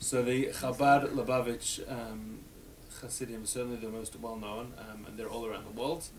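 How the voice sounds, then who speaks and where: Amid audible room echo, a man speaks at a moderate pace in a monotone, flat intonation, with big swings in loudness. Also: medium pitch for a man. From Australia. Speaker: rabbi teaching a class. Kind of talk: adult education class discussion.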